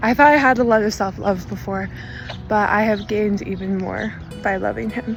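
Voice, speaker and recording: Over noticeable background noise, a woman with a fairly high pitch talks at a moderate pace in monotone, flat intonation. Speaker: bride. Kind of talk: wedding video interview.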